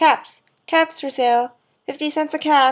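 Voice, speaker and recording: Delivered at a moderate pace, a put-on character voice comes through in a very clean recording with a silent background. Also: woman. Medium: read story. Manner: calling out, repetitive.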